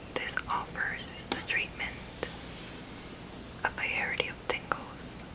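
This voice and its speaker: The speech is whispered at a very slow pace. Long pauses come often. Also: woman. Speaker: ASMR creator. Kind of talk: ASMR whispered narration. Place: home room.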